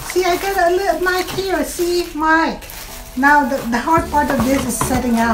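Noticeable background noise behind a woman speaking. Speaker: home vlogger. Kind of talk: casual unboxing vlog chat. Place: home room. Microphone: lapel.

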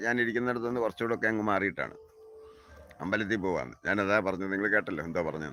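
With a bright, sharp tone, a man speaks with ordinary pitch variation. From Kerala, south of Ernakulam. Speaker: farming channel host. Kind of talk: live-stream monologue. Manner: animated.

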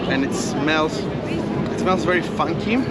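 A man talks with music playing in the background. The sound is dry, with no echo. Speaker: travel food vlogger. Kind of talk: casual vlog chat. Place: street. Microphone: lapel.

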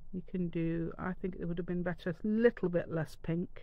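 Fairly low in pitch, a woman's voice comes through. Her intonation is fairly even.

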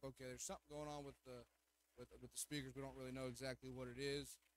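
A man with a fairly high pitch is heard in a dry sound with no echo, though there is noticeable background noise. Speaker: associate pastor. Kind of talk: sermon. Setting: church. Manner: loud. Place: church. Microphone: speakers problem, microphone turned all the way up; podium.

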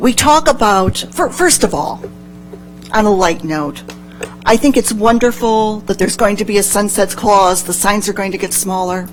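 Over music in the background, a woman speaks at a medium pitch and a moderate pace with ordinary pitch variation. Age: 60s. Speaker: public commenter. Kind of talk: public comment at city meeting.

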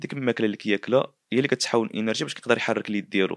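A man speaks with a northern Moroccan accent, the sound dry and free of echo. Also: quiet background. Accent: Moroccan Darija, northern. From Morocco. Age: 20s. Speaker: painter and artist; interviewee. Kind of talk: interview testimony. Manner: halting. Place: home room. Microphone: handheld.

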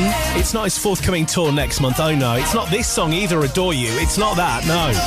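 A man at a fairly quick pace with hardly any pauses, in a dry sound with no echo, over clear music in the background. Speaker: radio presenter. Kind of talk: radio show presenting. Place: studio. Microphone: studio mic.

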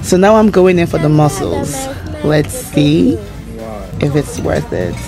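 While a woman talks, clear music can be heard behind her. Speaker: food vlogger. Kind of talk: casual vlog chat. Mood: delighted, playful. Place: cafe. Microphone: phone near.

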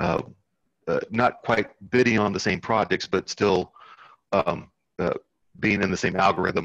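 Over a quiet background, a man talks at a moderate pace and a fairly low pitch, keeping his intonation fairly even and leaving long, frequent pauses. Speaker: worker cooperative member. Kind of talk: casual discussion. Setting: video call. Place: home room. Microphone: headset.

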